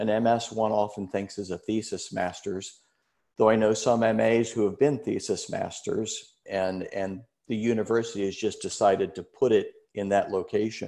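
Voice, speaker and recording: A man speaks with an American accent at a moderate pace. The background is quiet. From US Midwest. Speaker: retired researcher and alumnus; panelist. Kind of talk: informational webinar. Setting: video call. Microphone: video call.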